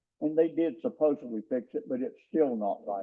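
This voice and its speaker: A man speaks with a Southern US accent. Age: 70s. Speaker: resident speaking at public comment. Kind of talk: public comment at county meeting. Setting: county commission meeting room. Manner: halting, with many fillers.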